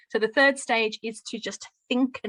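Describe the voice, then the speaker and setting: A woman speaks at a fairly slow pace with a slight Brummie accent. The sound is dry and close, with no echo. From Birmingham, England. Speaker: teacher trainer. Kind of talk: lecture.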